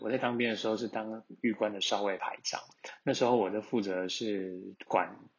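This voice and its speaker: At a fairly quick pace, a man talks in an ordinary speaking voice that sits fairly low. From Taiwan, Taichung. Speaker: listener sending a voice message. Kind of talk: recorded voice message, storytelling.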